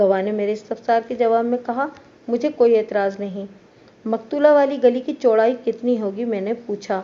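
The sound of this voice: Pitch varies in an ordinary way across this unforced reading voice.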